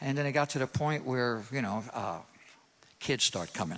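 A man speaks in a New York accent. His intonation is lively. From New York City. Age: 60s. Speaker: guitar teacher. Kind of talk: testimony. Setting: church stage with audience.

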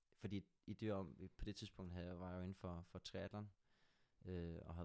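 Here a man speaks with a very deep, low pitch. He moves at a fairly quick pace with fairly even intonation. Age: 20s. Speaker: extreme endurance athlete. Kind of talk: casual chat.

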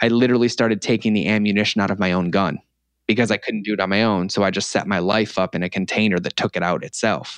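A man with an American accent talks at a very fast pace, his pitch fairly low and his intonation fairly even. The sound is dry and close, with no echo. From Massachusetts, US. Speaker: food blogger and cookbook author. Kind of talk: casual interview. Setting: podcast interview.

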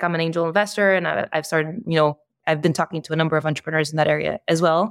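A woman talks at a very fast pace in a Portuguese accent. Her pitch is fairly low. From Brazil. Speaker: startup co-founder and COO. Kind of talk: interview conversation. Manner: fast, with frequent fillers and restarts.

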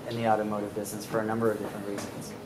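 Against noticeable background noise, a man's voice carries audible room echo. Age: 40s. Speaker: startup evangelist and investor. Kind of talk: interview at live event.

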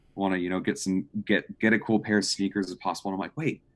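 A very deep, low male voice at a very fast pace. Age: 20s. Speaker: marketing graduate. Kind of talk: casual chat.

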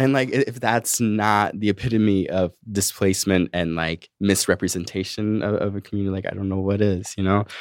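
A normal speaking voice with an American accent, fairly quick pace and fairly even intonation. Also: man, fairly low pitch for a man. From Massachusetts, Framingham. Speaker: poet and activist. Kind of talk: casual interview. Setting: studio.

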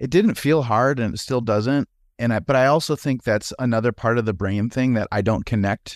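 In a Wisconsin accent, a man speaks at a moderate pace and medium pitch with ordinary pitch variation, on a very clean recording with a silent background. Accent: Wisconsin Upper Midwest, noticeable vowels. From Wisconsin, US. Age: 40s. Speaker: former pastor, healthcare administrator. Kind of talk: casual conversational interview.

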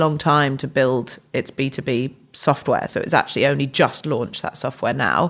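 On a very clean recording with a silent background, a woman with an English accent speaks at a very deep, low pitch, moderate pace and monotone, flat intonation. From England. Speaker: tech startup founder and CEO. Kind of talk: podcast interview.

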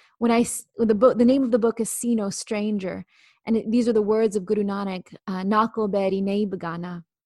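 Over a quiet background, a woman with an American accent speaks at a fairly quick pace in a somewhat breathy, dark, mellow tone, her intonation fairly even and the sound dry and close with no echo. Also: fairly high pitch for a woman. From rural California. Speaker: civil rights activist. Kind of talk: interview conversation.

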